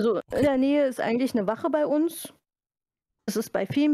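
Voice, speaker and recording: Recorded very cleanly with a silent background and a dry, close sound with no echo, a plain, everyday voice goes at a moderate pace with ordinary pitch variation. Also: woman. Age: 30s. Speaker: library media specialist. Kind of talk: casual interview.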